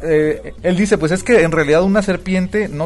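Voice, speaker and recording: At a fairly quick pace, a man speaks with a Mexican accent. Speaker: podcast co-host. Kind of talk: casual chat. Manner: animated.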